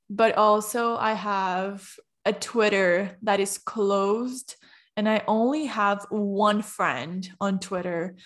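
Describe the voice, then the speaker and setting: On a very clean recording with a silent background, a woman speaks with a Portuguese accent. Her pace is very slow, her pitch medium and her intonation fairly even. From Brazil. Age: 20s. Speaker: podcaster. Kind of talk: casual chat.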